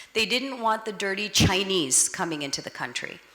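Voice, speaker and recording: A woman with an American accent and lively intonation, over noticeable background noise. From United States. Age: 50s. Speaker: advocacy organization director. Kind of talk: public talk.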